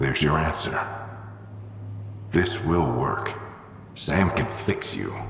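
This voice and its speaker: A man speaks in a put-on character voice at a fairly slow pace, his pitch very deep and low, with a clear echo around him. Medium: machinima. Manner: intense, clipped.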